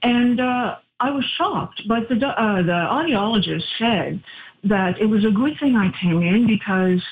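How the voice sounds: With a slightly husky edge, the voice moves at a fairly slow pace with lively intonation. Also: woman, medium pitch for a woman.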